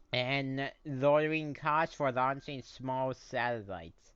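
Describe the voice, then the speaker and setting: Against a quiet background, a man talks at a very slow pace in a fairly high voice with ordinary pitch variation. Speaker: gaming YouTuber. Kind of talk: casual gameplay commentary. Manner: halting, many fillers and restarts.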